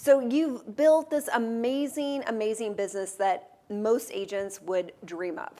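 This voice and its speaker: Using a normal speaking voice, a woman with an American accent talks at a moderate pace, her fairly high pitch varying in an ordinary way. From Texas. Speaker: real estate show host. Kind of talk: interview. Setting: studio.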